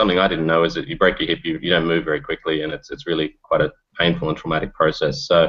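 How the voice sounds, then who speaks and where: Talking at a very fast pace, a man speaks with an Australian accent. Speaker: startup founder. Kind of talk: video interview. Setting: video call.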